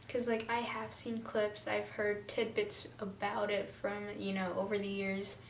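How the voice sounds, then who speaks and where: Audible room echo colors the recording. Noticeable background noise is present too. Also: woman. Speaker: vlogger. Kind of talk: casual chat. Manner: animated.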